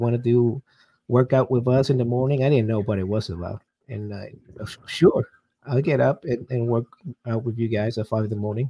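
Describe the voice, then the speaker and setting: This man talks fairly quickly at a medium pitch, his intonation fairly even, in a Puerto Rican accent. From Puerto Rico. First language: Spanish. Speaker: army veteran and business coach. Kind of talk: interview. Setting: video call.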